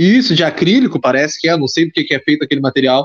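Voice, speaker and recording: Very fast speech in a Rio Grande do Sul accent, with a dry, close sound and no echo. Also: man. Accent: Rio Grande do Sul Portuguese (gaúcho). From Pelotas, southern Brazil. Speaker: podcast host. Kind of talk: casual chat. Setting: video call.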